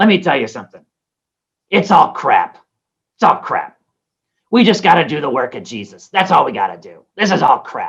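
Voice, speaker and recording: A put-on character voice sits at a middle pitch. It moves at a moderate pace with long, frequent pauses. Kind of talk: colloquial. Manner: blunt, dismissive.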